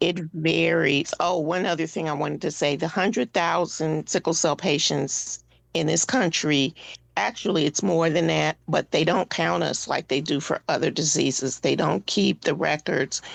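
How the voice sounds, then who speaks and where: Against a quiet background, a woman with a very deep, low pitch and vocal fry speaks at a moderate pace, her loudness very even and her pitch varying in an ordinary way. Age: 60s. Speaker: patient advocate, board member with sickle cell disease. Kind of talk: radio interview. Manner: halting, many fillers.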